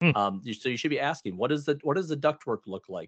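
With lively intonation and a fairly high pitch, a man talks in a plain, everyday voice. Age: 40s. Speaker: heating, cooling and plumbing business owner. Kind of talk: casual interview.

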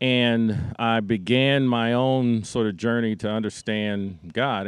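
A man with an unremarkable speaking voice and a fairly low pitch. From US. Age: 60s. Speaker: nonprofit CEO. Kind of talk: interview in front of a church congregation.

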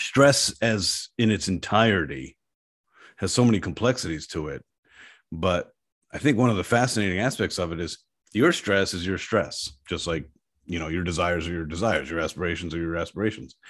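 A man with a very deep, low voice talks fairly quickly with lively intonation. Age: 50s. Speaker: company CEO. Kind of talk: casual interview.

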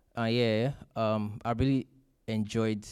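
A man speaks in a flat monotone on a very clean recording with a silent background. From Nigeria. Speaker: church member. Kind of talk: testimony. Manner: halting.

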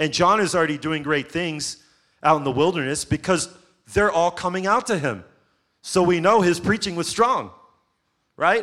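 With long, frequent pauses, a man speaks in an animated tone and a high pitch on a very clean recording with a silent background. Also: ordinary pitch variation, moderate pace. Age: 40s. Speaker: pastor. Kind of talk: sermon.

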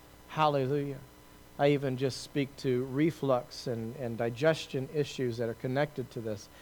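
Fairly even intonation runs through this man's medium-pitched speech. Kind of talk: fervent charismatic prayer over a congregation, eyes closed, hands raised. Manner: rising, impassioned, pleading, with repeated praise and thanks.

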